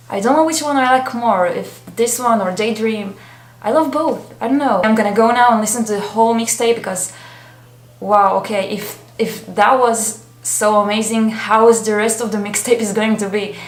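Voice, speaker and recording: A woman with a non-native accent speaks at a moderate pace and fairly high pitch, with audible room echo. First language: not English. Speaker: K-pop reaction youtuber. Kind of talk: reaction video commentary. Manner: animated.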